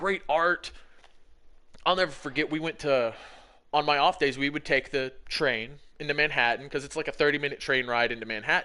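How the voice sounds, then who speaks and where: An animated man with an American accent, fairly high in pitch, with a bright, sharp tone, ordinary pitch variation, a fairly quick pace and long, frequent pauses over a quiet background. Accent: southern accent, mostly hidden. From Alabama, US South. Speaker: gaming streamer. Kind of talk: casual chat.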